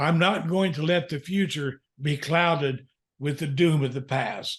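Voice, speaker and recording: Against a quiet background, a man with a fairly high pitch and a somewhat breathy voice talks fairly slowly, using ordinary pitch variation. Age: 70s. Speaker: counselor and author. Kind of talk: interview.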